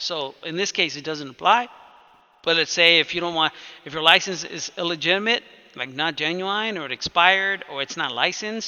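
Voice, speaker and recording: Speaking at a fairly quick pace, a man uses a high pitch with ordinary pitch variation and big swings in loudness. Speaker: computer technician teaching a client. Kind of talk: one-on-one tutorial. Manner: fast; casual, informal.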